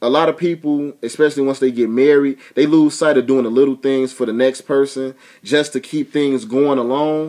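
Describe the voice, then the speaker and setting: A man's dark, mellow tone over a quiet background. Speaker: vlogger giving relationship advice. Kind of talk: casual vlog chat. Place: home room. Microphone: webcam.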